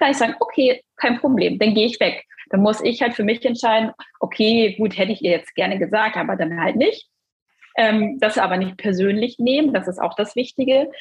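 A woman with a normal speaking voice, fairly high in pitch, talks at a fairly quick pace. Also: ordinary pitch variation. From northern Germany, Cuxhaven district. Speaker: dental billing consultant and coach. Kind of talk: podcast interview.

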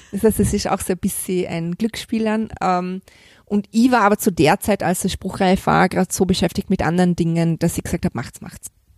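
In a very clean recording with a silent background and a dry, close sound with no echo, a woman speaks in a plain, everyday voice at medium pitch, with ordinary pitch variation and a fairly quick pace. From Vorarlberg, western Austria. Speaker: crime novelist. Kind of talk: interview. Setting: hotel.

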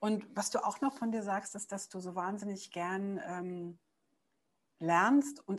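At a moderate pace, a woman speaks at a medium pitch over a quiet background. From East Berlin. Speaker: podcast host. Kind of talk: casual interview.

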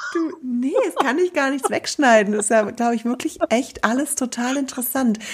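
Over noticeable background noise, a woman with a high pitch speaks at a moderate pace with lively intonation and hardly any pauses. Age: 40s. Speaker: podcast host and yarn shop owner. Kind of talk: casual chat.

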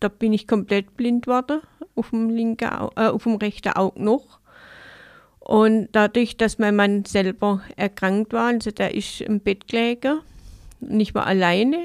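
A woman with a fairly high pitch speaks at a fairly slow pace, leaving long, frequent pauses. The recording is very clean with a silent background, and the sound is dry and close with no echo. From Baden-Württemberg, Enzkreis (Königsbach). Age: 50s. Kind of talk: interview. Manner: halting.

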